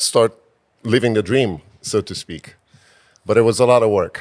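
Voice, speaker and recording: A man with a Romanian accent, fairly low in pitch, at a fairly slow pace. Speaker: physician and real estate investor. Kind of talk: interview. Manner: hesitant, many fillers.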